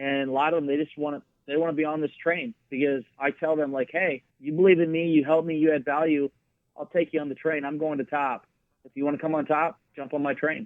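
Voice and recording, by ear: The speaker has an American accent and a fast pace with little pitch movement. The sound is dry and close, with no echo. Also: man, fairly high pitch for a man.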